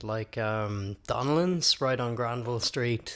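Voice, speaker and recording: A man's medium-pitched voice with an Irish accent at a moderate pace, in a very clean recording with a silent background. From Ireland. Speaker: musician and open mic host. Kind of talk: interview. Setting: studio.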